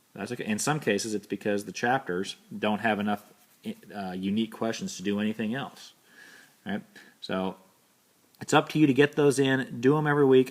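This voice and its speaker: A man's plain, everyday voice at a medium pitch, with lively intonation and a fairly quick pace. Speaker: university instructor. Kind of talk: recorded lecture. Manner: casual.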